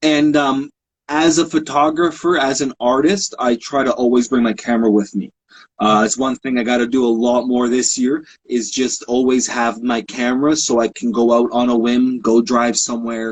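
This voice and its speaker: A man speaks in a plain, everyday voice at medium pitch and moderate pace, with very even loudness and fairly even intonation. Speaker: photographer and author. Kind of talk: casual interview chat.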